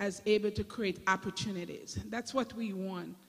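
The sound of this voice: With a Jamaican accent, a woman speaks at a medium pitch with ordinary pitch variation.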